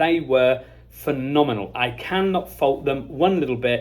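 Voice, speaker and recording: This is a man with an English accent. His pitch varies in an ordinary way. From England. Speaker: company owner vlogging from a trade show. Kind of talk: casual vlog monologue. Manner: animated.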